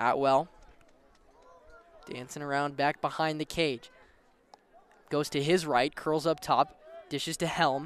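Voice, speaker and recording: A man's fairly high voice with long, frequent pauses, in a dry, close sound with no echo. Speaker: sports play-by-play announcer. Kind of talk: live commentary. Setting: outdoor stadium broadcast. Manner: fast.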